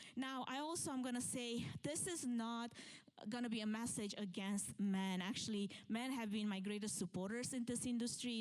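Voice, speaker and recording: A woman with a Romanian accent speaks at a moderate pace in a fairly high pitch, with ordinary pitch variation. Her loudness stays very even, and there is audible room echo. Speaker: event planner and keynote speaker. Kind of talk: conference talk. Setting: stage with live audience.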